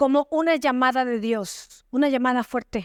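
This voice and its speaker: A woman with a high pitch and ordinary pitch variation at a fairly slow pace, in a very clean recording with a silent background. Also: dry, close sound with no echo. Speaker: pastor, church preacher. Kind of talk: sermon preached to a congregation.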